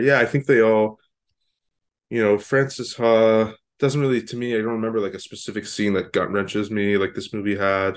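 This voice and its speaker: An ordinary speaking voice with a Canadian accent. The pace is fairly quick and the intonation fairly even. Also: man, quiet background. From Canada. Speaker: film podcast co-host. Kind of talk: casual chat.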